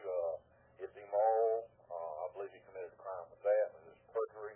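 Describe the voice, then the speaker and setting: Speaking rather quickly, a man talks with a Southern US accent. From US South. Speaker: caller. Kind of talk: call-in radio talk. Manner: halting.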